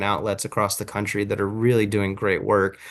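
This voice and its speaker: There's a quiet background behind this man's voice. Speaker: journalism trainer. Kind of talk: online workshop presentation. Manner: fast.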